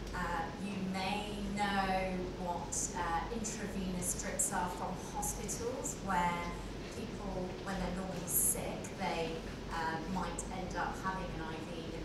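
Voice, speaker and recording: Woman at a very slow pace, with audible room echo and loud background noise. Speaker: panelist. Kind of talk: panel introduction answer. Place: hall.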